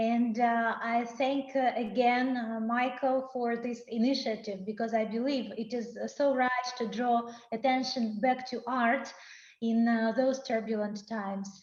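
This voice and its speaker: A woman's fairly high voice in a Russian accent, monotone and flat, at a fairly slow pace. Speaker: poet. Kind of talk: casual chat. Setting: video call.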